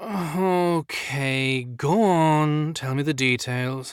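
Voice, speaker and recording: A man in a put-on character voice, very slow in pace, on a very clean recording with a silent background. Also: fairly high pitch for a man. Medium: read story.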